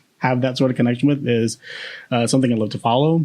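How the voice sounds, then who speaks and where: A man speaks at medium pitch with an American accent. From Boston, US. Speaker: podcast co-host. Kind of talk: casual chat. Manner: halting, many fillers.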